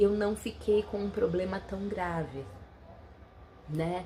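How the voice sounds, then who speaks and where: A woman at a very slow pace, with fairly even intonation and noticeable background noise. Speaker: nutritionist and health vlogger. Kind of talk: casual vlog talk.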